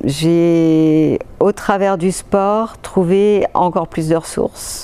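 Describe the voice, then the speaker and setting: Against noticeable background noise, a woman talks with fairly low pitch and ordinary pitch variation. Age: 60s. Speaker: patient's spouse and amateur athlete. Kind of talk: testimony. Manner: halting, many hesitations.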